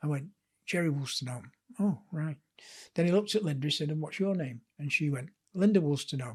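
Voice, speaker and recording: Somewhat breathy speech in a Lancashire accent, fairly quick in pace yet with long, frequent pauses and ordinary pitch variation. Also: man, fairly high pitch for a man. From northern England, Blackpool. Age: 70s. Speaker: author and sports historian. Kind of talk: casual interview chat.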